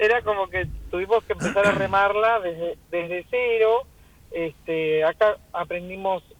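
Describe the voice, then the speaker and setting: The speaker is a woman. She has a Rioplatense accent. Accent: Argentine Spanish (rioplatense). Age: 60s. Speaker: restaurant owner. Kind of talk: radio interview.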